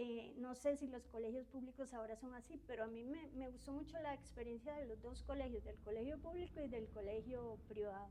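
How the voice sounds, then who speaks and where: A woman's high-pitched voice at a fairly quick pace with hardly any pauses and ordinary pitch variation. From Costa Rica, from age twelve; born in Uruguay. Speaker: university professor. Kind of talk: interview testimony. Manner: hesitant, many fillers.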